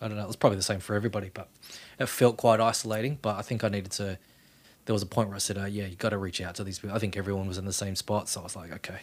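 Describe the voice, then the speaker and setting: A man with an Australian accent, fairly low in pitch, monotone and flat, at a very fast pace. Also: big swings in loudness. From Australia, Western Sydney. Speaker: podcast host. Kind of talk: interview, casual chat.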